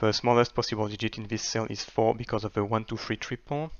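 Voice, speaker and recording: Delivery moves at a moderate speed. The intonation is fairly even. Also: man. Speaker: sudoku solver and video creator. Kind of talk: tutorial. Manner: hesitant with fillers.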